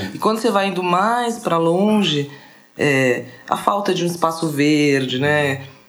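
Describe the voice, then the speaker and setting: Pausing long and often, a woman with a fairly low pitch talks fairly slowly with lively intonation amid noticeable background noise and audible room echo. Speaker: designer and radio show host. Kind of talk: casual chat.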